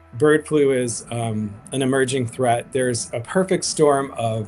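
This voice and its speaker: With music in the background, a man speaks at a moderate pace and ordinary pitch variation. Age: 50s. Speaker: activist, founder of a grassroots advocacy group. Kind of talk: interview on a livestream. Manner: hesitant, many fillers and restarts.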